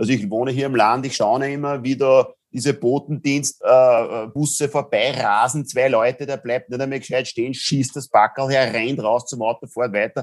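An ordinary speaking voice from a man at a moderate pace, fairly even in intonation with hardly any pauses, on a very clean recording with a silent background. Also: medium pitch for a man. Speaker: business angel and impact investor. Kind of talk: interview.

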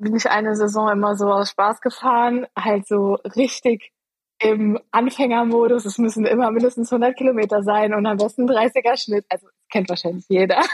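A woman speaks in a monotone with flat intonation. The sound is dry and close, with no echo. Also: moderate pace. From Eifel, western Germany. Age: 20s. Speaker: amateur racing cyclist. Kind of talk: casual interview.

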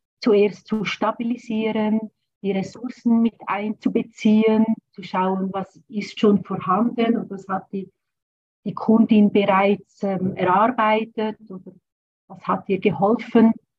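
A somewhat breathy, medium-pitched woman's voice, monotone and flat in intonation, at a very slow pace with big swings in loudness. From rural German-speaking area, grew up on a farm. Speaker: trauma therapist. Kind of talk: interview.

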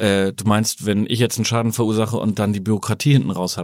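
The recording is very clean, with a silent background. A man talks at a very fast pace in a fairly low pitch. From Germany. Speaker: insurance professional. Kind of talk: casual chat.

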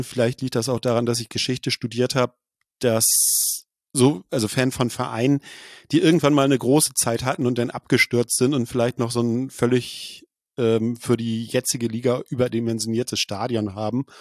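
A man at medium pitch talks at a moderate pace with fairly even intonation, the sound dry and close with no echo against a quiet background. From Schleswig-Holstein, northern Germany. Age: 40s. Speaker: football journalist and blogger. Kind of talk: casual interview. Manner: hesitant with frequent fillers.

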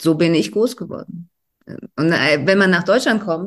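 A woman with a Russian accent and lively intonation, against a quiet background. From Russia (Volgograd, Soviet Union). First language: Russian (speaking German). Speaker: novelist and dramaturge. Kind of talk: interview.

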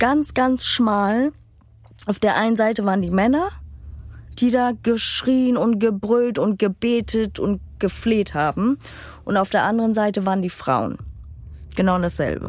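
This woman talks at a fairly slow pace with a fairly high pitch, ordinary pitch variation, very even loudness and long, frequent pauses. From Romania, raised in Germany. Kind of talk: testimony.

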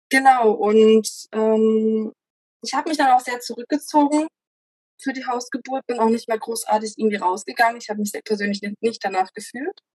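A woman with a plain, everyday voice, fairly high in pitch, with ordinary pitch variation and a moderate pace. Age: 20s. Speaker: mother sharing home birth story. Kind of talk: interview testimony. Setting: child present during recording.

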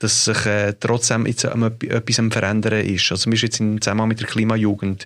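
Medium-pitched male speech, very cleanly recorded against total background silence. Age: 40s. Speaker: podcast host. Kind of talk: interview conversation. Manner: halting, many fillers.

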